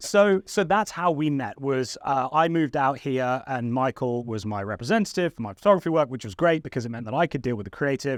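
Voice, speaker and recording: Against a quiet background, a man with an English accent talks very fast with hardly any pauses, his medium-pitched voice lively in intonation and the sound dry and close with no echo. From England. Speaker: photographer and YouTuber. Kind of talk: casual chat.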